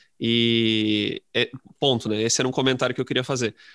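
A man with a plain, everyday voice talks at a moderate pace and medium pitch, with ordinary pitch variation. The sound is dry and close, with no echo. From interior of Rio Grande do Sul, Brazil. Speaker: high school literature teacher. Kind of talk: casual interview chat.

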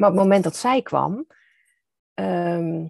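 A woman's medium-pitched, dark, mellow tone at a very slow pace, in a dry, close sound with no echo. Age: 50s. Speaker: author and founder of a stepfamily foundation. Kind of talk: interview conversation.

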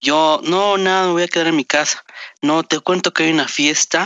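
Here a man speaks at a fairly high pitch with fairly even intonation. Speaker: podcast co-host. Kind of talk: casual chat. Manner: formal word choice.

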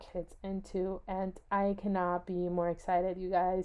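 This woman speaks with an American accent. Her pitch sits in the medium range. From California. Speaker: podcast host. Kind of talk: casual solo chat.

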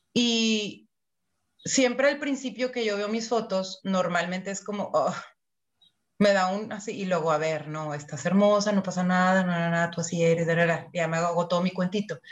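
Somewhat breathy and medium in pitch, a woman speaks with a Mexican accent at a moderate pace, her pitch varying in an ordinary way. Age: 40s. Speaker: podcast co-host. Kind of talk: casual chat.

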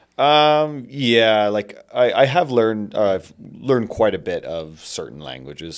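The speaker has a normal speaking voice with a Canadian accent and lively intonation. The pace is moderate, in a very clean recording with a silent background. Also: man. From Canada. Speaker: spice merchant and traveler. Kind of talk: casual chat.

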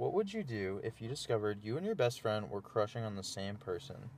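Here is a normal speaking voice at a moderate pace. Its pitch variation is ordinary. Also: man. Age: 20s. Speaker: friend of the host. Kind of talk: casual chat.

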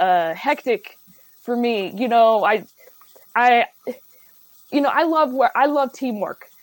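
It's a plain, everyday voice, a woman's, at a fairly slow pace with ordinary pitch variation. The sound is dry and close, with no echo. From Ohio, Dayton. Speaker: comedian. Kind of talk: casual chat. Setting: studio.

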